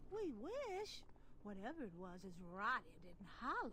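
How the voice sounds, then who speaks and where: A female-sounding put-on character voice, pitched high. She talks at a moderate pace over clear background noise. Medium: video game. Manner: dry.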